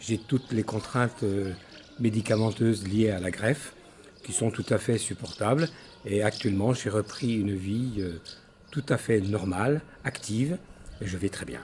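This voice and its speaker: A man's fairly slow delivery with long, frequent pauses and ordinary pitch variation, over noticeable background noise. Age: 70s. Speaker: lung transplant patient. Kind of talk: testimony.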